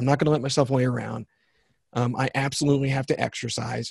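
Somewhat breathy speech moves at a fairly quick pace in a dry, close sound with no echo. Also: man. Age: 50s. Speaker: author and success trainer. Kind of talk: interview conversation.

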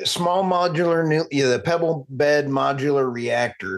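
This man has an American accent and a fairly high pitch. He uses a normal speaking voice at a fairly slow pace. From United States. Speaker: podcast host. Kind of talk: casual interview.

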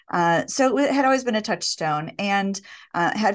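A woman talks with lively intonation. She has an unremarkable speaking voice. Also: quiet background. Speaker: illustrator and author. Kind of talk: interview.

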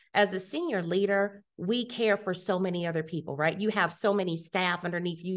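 A woman with an American accent has an ordinary speaking voice of medium pitch. She speaks at a moderate pace with ordinary pitch variation against a quiet background. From Ohio, US Midwest (Youngstown). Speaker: health system executive, former nurse. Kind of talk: interview. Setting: conference summit.

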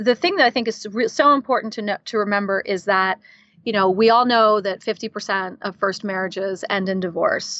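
A woman's unremarkable speaking voice, fairly high in pitch, at a moderate pace with ordinary pitch variation. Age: 40s. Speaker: life coach and podcast host. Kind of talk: interview conversation.

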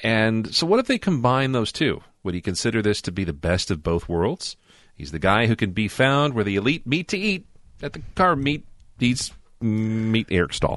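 With very wide pitch swings, a man speaks over a quiet background. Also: medium pitch for a man, moderate pace. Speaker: podcast host. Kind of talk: casual chat.

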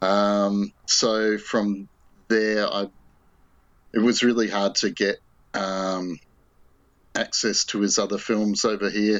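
Pausing long and often, a man with an Australian accent speaks very slowly in a fairly low, flat monotone at very even loudness. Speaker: film fan, online group admin. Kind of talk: casual conversation, film discussion.

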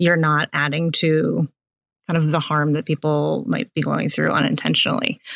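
Against a quiet background, a woman with an American accent and a very deep, low pitch talks at a moderate pace in a dry, close sound with no echo. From Boston area. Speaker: nonprofit operations manager. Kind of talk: podcast interview.

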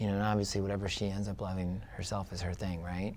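A soft-spoken man talks with a very deep, low pitch and ordinary pitch variation. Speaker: real estate investor. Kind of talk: interview.

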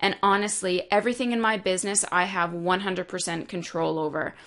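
This woman speaks fairly quickly at a medium pitch, with ordinary pitch variation. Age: 30s. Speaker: naturopathic doctor and business coach podcast host. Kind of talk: solo podcast monologue.

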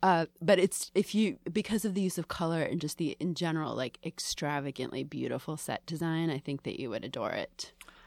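This is a plain, everyday voice with an American accent, moving at a fairly quick pace with ordinary pitch variation. The sound is dry and close with no echo, on a very clean recording with a silent background. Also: woman, fairly low pitch for a woman, hardly any pauses. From Greater Boston, Massachusetts. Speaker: film critic. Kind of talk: casual chat. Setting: studio.

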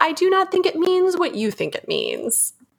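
A woman's put-on character voice, extremely high in pitch, with lively intonation at a moderate pace. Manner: quoting movie line, imitation.

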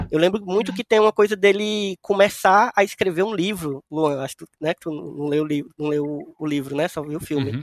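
A man with a high pitch at a moderate pace, hardly any pauses and ordinary pitch variation, in a dry, close sound with no echo. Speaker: podcast host. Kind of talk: casual chat.

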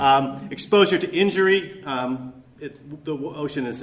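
A fairly high-pitched man with an American accent and ordinary pitch variation, over noticeable background noise. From Alaska. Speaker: historian. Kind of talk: conference lecture. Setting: conference workshop with audience. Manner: halting, many fillers and repeats; hurried.

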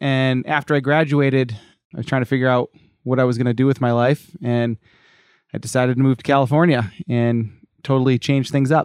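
A man with an unremarkable speaking voice talks fairly quickly at a medium pitch with fairly even intonation. The sound is dry and close with no echo, against a quiet background. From US Northeast (Cape Cod, Massachusetts). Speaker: personal trainer. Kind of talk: casual interview.

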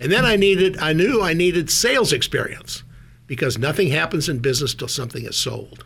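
A man with an American accent speaks fairly quickly, his lively intonation touched by vocal fry. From North Dakota, US. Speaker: former CEO of a diagnostics company. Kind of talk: radio interview.

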